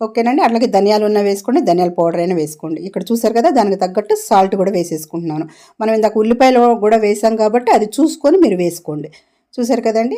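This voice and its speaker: A woman with a dark, mellow tone speaks at a fairly high pitch with lively intonation. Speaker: cooking vlogger. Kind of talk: cooking tutorial.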